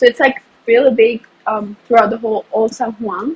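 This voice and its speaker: A woman with a Spanish accent talks at a moderate pace and a fairly high pitch, with noticeable background noise. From Puerto Rico. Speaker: university student. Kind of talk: casual interview. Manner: frequent 'like' fillers, some stumbles.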